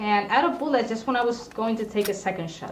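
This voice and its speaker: A woman with a non-native accent and a fairly high pitch talks at a fairly quick pace. Noticeable background noise and audible room echo are present. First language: not English. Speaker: gaming streamer. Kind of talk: casual live stream commentary while gaming. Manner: hesitant, with frequent fillers and restarts.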